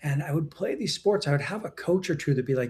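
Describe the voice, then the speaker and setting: This man's voice has a dark, mellow tone. His pitch sits fairly high. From Western Canada. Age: 60s. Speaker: entrepreneur and executive coach. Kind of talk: interview.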